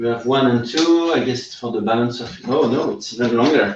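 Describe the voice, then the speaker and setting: A man at a medium pitch with a slight non-native accent and ordinary pitch variation. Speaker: VR game developer. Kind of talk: live stream hardware assembly. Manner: halting, many fillers; animated.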